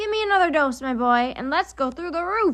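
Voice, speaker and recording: A woman shouts in a put-on character voice, raised and projected, shrill and extremely high-pitched, at a fairly quick pace. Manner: excited, shouting.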